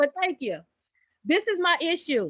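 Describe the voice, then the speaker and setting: Recorded dry and close with no echo against a quiet background, a woman talks with lively intonation in a Southern US accent. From Texas, Dallas. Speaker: entrepreneur. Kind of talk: group coaching Q&A.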